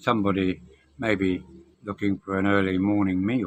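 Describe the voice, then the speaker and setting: Over music in the background, a man with a British accent speaks at a fairly slow pace in a fairly low pitch. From Britain. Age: 70s. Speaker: expat vlogger. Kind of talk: casual talk to camera.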